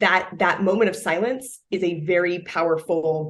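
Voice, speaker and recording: At a fairly slow pace, a woman speaks at a fairly low pitch, her pitch varying in an ordinary way. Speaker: product marketing director. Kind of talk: interview. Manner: loud.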